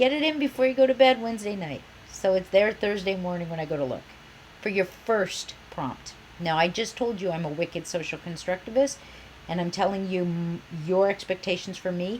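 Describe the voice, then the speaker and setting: Over noticeable background noise, a woman with an American accent talks fairly quickly at a medium pitch, her intonation lively. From US Midwest, Iowa. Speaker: university professor. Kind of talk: online course introduction. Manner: animated.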